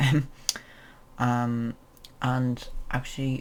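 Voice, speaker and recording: A man speaks with an Irish accent at a medium pitch. His intonation is monotone and flat. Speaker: transgender vlogger. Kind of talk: casual vlog update. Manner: hesitant, many fillers.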